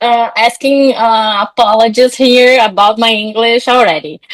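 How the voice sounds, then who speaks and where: A woman with a Brazilian Portuguese accent, fairly high in pitch, with very even loudness. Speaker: psychologist and coach. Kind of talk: podcast interview. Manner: animated; halting.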